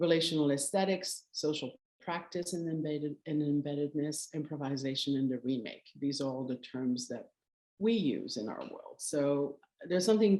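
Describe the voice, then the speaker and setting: With a Quebec accent, a woman speaks at a moderate pace in a very deep, low pitch, her tone dark and mellow and her pitch variation ordinary. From Canada, Quebec. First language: French. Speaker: curator. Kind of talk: lecture. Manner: halting.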